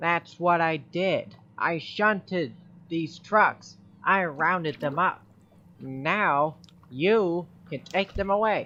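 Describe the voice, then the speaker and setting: A put-on character voice at a middle pitch moves at a very slow pace. Long pauses come often. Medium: audio drama. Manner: haughty, stubborn.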